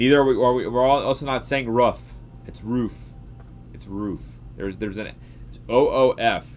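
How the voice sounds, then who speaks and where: A man speaks with a Southern US accent. His loudness swings widely. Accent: Southern drawl, slurs words. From US South, Georgia. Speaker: science livestreamer. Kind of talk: casual livestream chat. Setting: live stream reading chat. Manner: animated.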